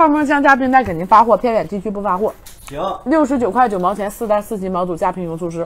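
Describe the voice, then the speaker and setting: A woman at a very fast pace, animated in tone with lively intonation. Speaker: livestream seller. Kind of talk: rapid-fire livestream hard-sell pitch, countdown to flash sale. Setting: livestream studio. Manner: excitable, hype-driven, rapid repetition of prices and urgency; animated, loud exclamations while eating. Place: studio. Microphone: lapel.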